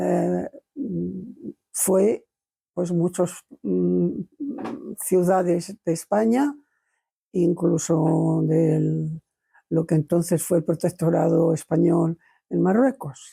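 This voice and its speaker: A woman's very slow speech, broken by long, frequent pauses. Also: very even loudness. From Spain, mostly Madrid. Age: 80s+. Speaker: interviewee recounting childhood memories. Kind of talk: oral history testimony. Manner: halting, many hesitations and repetitions.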